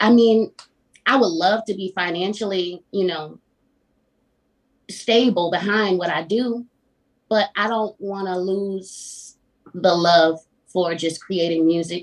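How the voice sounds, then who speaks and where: A woman talks in a Southern US accent at medium pitch and a fairly slow pace. Her intonation is fairly even, with long, frequent pauses. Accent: Southern country twang. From Florida, US South. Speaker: singer-songwriter. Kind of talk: casual interview.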